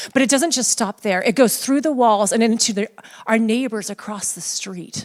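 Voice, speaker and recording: Animated in tone, a woman with a fairly high voice speaks at a moderate pace with ordinary pitch variation. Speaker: pastor. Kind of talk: sermon.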